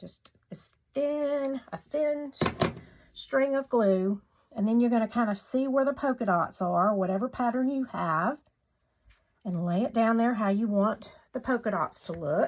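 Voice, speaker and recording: In a Southern US accent, a woman talks at a fairly slow pace with a fairly high pitch. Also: lively intonation. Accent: US South. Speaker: craft tutorial maker. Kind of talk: tutorial. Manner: casual, chatty.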